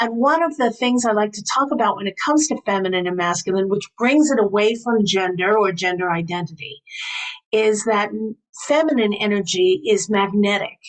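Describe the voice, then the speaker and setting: In an American accent, a woman with an unremarkable speaking voice talks at a moderate pace and a fairly high pitch, with lively intonation. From New York. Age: 60s. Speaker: priestess and spiritual teacher. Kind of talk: interview.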